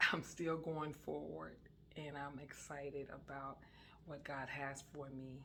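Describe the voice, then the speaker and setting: In a room with audible echo, a woman with a very deep, low pitch and vocal fry speaks at a very slow pace. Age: 60s. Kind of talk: casual religious talk. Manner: hesitant, many fillers.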